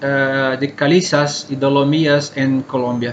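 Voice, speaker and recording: With a Brazilian accent, a man speaks at a very slow pace with a fairly high pitch, amid audible room echo. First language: Portuguese (speaking Spanish). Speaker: cave scientist speaker. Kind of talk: conference talk. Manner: halting.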